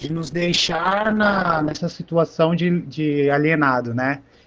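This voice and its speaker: The pitch varies in an ordinary way, with noticeable background noise present. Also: man. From São Paulo, Brasilândia. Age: 30s. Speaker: art educator. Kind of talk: panel discussion. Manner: casual, hesitant with filler words.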